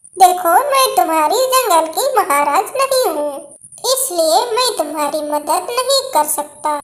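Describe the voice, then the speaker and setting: At a fairly slow pace, a cartoonish character voice sits at an extremely high pitch. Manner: authoritative, advising.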